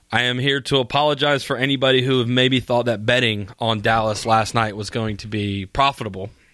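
A plain, everyday voice, a man at medium pitch with fairly even intonation and a fairly quick pace. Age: 20s. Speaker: sports radio host. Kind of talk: sports talk monologue.

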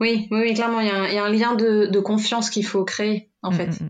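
Intonation is monotone and flat. The pace is fairly quick. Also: woman. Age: 20s. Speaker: project manager. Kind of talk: coaching conversation. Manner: hesitant.

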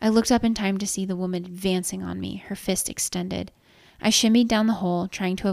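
The voice heard here reads in an unforced way.

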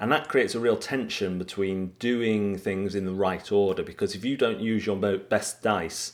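Fairly low male speech at a fairly quick pace, a normal speaking voice with ordinary pitch variation, on a very clean recording with a silent background. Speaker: podcast host and writer. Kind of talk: casual podcast hosting.

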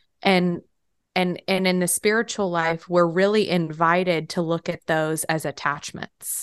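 A plain, everyday voice with fairly even intonation comes across in a dry, close sound with no echo. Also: woman, fairly low pitch for a woman, fairly slow pace, quiet background. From Texas. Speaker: spiritual podcast co-host. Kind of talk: casual chat.

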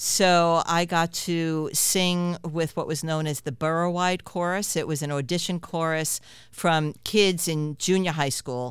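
Speaking at a fairly slow pace in an ordinary speaking voice, a woman with an American accent has a fairly low pitch, captured in a very clean recording with a silent background. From New York City (Queens). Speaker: singer-songwriter. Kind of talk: interview.

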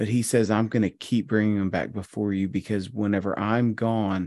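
In a normal speaking voice, a man talks at a moderate pace with a fairly low pitch and fairly even intonation against a quiet background. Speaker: podcast co-host.

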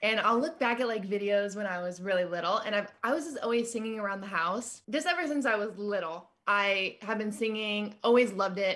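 A woman with a plain, everyday voice, fairly high in pitch, fairly quick and almost without pauses, her pitch varying in an ordinary way. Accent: American. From California. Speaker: singer-songwriter. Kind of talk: casual interview.

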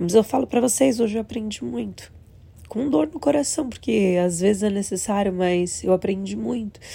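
A woman speaks at a moderate pace in a medium pitch. Her voice is somewhat breathy, with a dark, mellow tone. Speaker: vlogger and casino worker. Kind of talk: personal vlog monologue. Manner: emotional.

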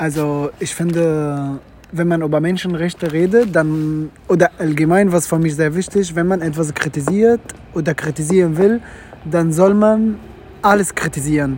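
There is noticeable background noise as a man with a high pitch talks. His pace is moderate and his pitch variation ordinary. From Syria. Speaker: student. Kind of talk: casual chat. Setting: outdoors.

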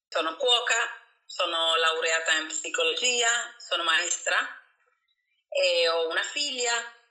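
A woman speaks at a fairly slow pace with lively intonation and very even loudness. Long, frequent pauses fill the audible room echo. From Argentina. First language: Spanish (speaking Italian). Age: 50s. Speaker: cook and psychologist. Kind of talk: interview. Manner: halting.

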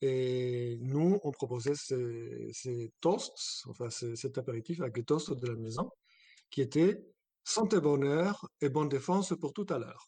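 A man's somewhat breathy, dark, mellow voice at a very slow pace with lively intonation. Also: fairly high pitch for a man. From abroad, not France. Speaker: guest house owner. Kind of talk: interview.

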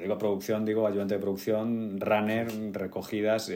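A man with an ordinary speaking voice, fairly low in pitch, at a fairly quick pace. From Spain, Getafe (Madrid). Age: 30s. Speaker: actor. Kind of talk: interview conversation.

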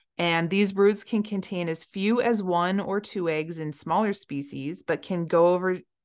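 A woman with an American accent speaks in a normal speaking voice at a moderate pace, her fairly low pitch showing ordinary variation against a quiet background. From Colorado. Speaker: podcast host, diver and science communicator. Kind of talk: casual educational chat.

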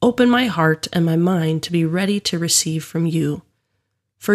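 A woman with a normal speaking voice talks in a fairly low pitch at a moderate pace, with ordinary pitch variation and a dry, close sound with no echo. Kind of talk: guided prayer and devotional reflection prompts. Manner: calm, reverent, measured.

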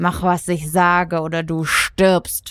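In a put-on character voice at middle pitch, the speaker growls with a menacing tone at a fairly slow pace. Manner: growling, menacing.

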